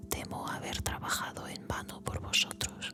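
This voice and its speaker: Someone whispers in a calm tone at a very slow pace. Music plays in the background. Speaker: Bible reader / ASMR channel host. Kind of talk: whispered Bible reading for relaxation and sleep (ASMR audiobook). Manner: whispered, slow, calm.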